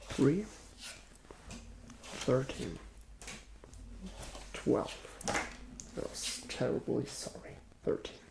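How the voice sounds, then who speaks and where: Soft-spoken whispering at a very slow pace over noticeable background noise. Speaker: ASMR creator role-playing a casino dealer. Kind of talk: ASMR role-play. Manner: soft-spoken, whispered.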